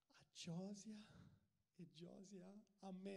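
High-pitched for a man, his voice comes through against a quiet background. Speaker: stage storyteller. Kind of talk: stand-up storytelling monologue. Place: stage. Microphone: handheld.

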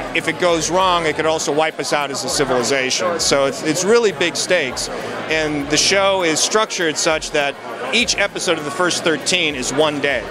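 The speech moves at a moderate pace with ordinary pitch variation, in a dry sound with no echo and noticeable background noise. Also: man. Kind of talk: interview answer. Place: hall. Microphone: handheld.

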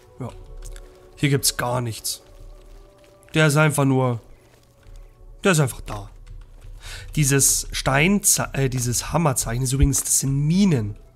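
A man's fairly high voice at a fairly slow pace, with long, frequent pauses and faint music in the background. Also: ordinary pitch variation. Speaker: let's play gamer. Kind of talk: gameplay commentary. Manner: casual, chatty.

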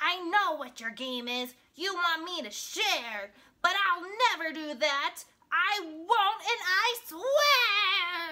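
Slowly and with lively intonation, a woman does a put-on character voice at an extremely high pitch, her tone bright and sharp.

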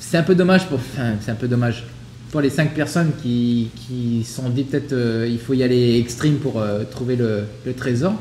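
Over light background noise and audible room echo, a man talks at a moderate pace with a medium pitch and ordinary pitch variation. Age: 30s. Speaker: podcast co-host. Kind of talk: casual chat. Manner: halting. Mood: relaxed, reflective. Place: home room.

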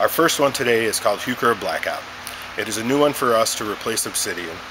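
A man speaks fairly quickly with ordinary pitch variation while noticeable background noise plays underneath. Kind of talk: product presentation. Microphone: phone near.

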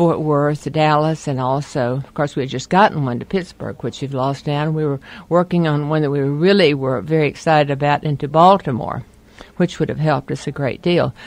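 A woman at a very deep, low pitch, talking at a fairly quick pace, with a dry sound and no echo. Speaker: interviewee. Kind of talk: interview answer.

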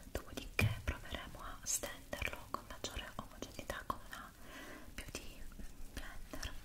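A woman whispering at a fairly slow pace. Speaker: ASMR creator. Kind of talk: ASMR makeup roleplay. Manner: whispered; soft-spoken, calm. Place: home room.

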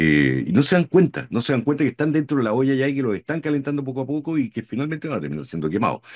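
Lively intonation and vocal fry mark a man's medium-pitched voice. He talks at a very fast pace with hardly any pauses over a quiet background. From Chile. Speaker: podcast host, co-host. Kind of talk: political talk show discussion. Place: home room.

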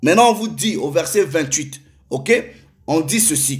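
A man talks with lively intonation against a quiet background. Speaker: preacher. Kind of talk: sermon. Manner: formal; earnest.

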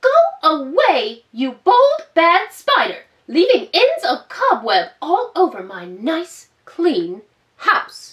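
Using a put-on character voice, a woman speaks very slowly in an extremely high pitch, raised and projected. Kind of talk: children's storytime read-aloud. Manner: prim, scolding, cross.

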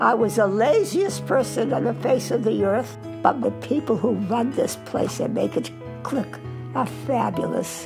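Clear background music behind a woman at a fairly slow pace. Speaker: retirement community resident. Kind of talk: interview answer. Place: home room.

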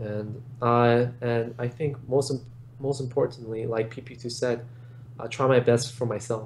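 Somewhat breathy, a man speaks at a fairly slow pace with monotone, flat intonation over light background noise. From Los Angeles, California. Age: 20s. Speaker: esports player and attorney; attorney. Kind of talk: interview. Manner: halting, many repetitions. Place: home room. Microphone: webcam.

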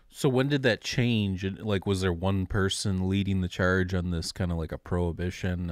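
This man's voice sits at a very deep, low pitch, and the sound is dry with no echo. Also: quiet background. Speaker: podcast host. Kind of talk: casual chat. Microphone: studio mic.

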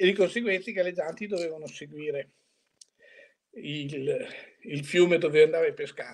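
The voice moves at a moderate pace with ordinary pitch variation, big swings in loudness, and long, frequent pauses. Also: man, high pitch for a man. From Italy, Bologna; Italy. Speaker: veteran competitive angler; interviewee. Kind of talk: interview reminiscence. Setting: video call. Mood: nostalgic, relaxed. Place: home room. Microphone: video call.

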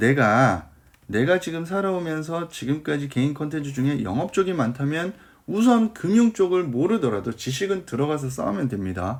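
The speaker is a man with a fairly high pitch. His voice makes very wide pitch swings. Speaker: cover letter writing coach. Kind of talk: online lecture. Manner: animated.

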